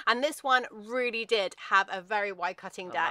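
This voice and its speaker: Speaking at a fairly quick pace with ordinary pitch variation, a woman is heard in a dry sound with no echo. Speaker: presenter. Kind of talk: conversational product review. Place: garden.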